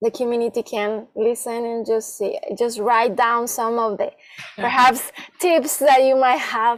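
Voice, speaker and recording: With a normal speaking voice, a woman talks at a fairly slow pace and fairly high pitch, keeping her intonation fairly even. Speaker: podcast host and life coach. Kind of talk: podcast interview questions.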